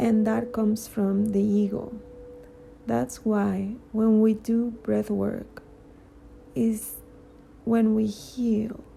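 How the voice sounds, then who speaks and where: A woman with a Spanish accent speaks at a very slow pace with long, frequent pauses, her fairly high voice monotone and flat at very even loudness. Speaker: spiritual vlogger, cancer patient. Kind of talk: personal monologue. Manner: halting, many fillers.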